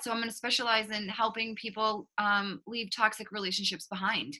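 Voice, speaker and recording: A woman with a slight Boston accent talks fairly quickly in a fairly high pitch, her tone bright and sharp. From Boston, Massachusetts. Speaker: author and relationship coach. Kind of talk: interview. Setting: video call.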